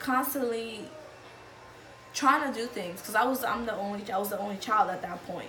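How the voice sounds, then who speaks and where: Noticeable background noise is present. The pitch moves with ordinary variation. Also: woman. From Dominican Republic. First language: Spanish. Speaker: immigrant. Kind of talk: interview answer. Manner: casual, hesitant.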